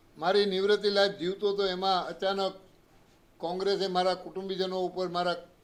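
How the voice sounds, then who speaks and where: A man's high-pitched voice in a monotone, flat intonation. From Gujarat, Saurashtra (Gondal area). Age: 80s+. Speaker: retired politician. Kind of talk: public statement to press.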